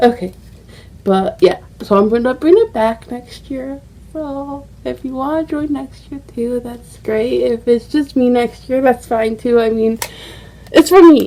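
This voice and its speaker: Over noticeable background noise, a woman speaks slowly-ish at a high pitch, with ordinary pitch variation, big swings in loudness and a fairly slow pace. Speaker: beauty vlogger. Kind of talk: casual vlog chat. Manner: animated.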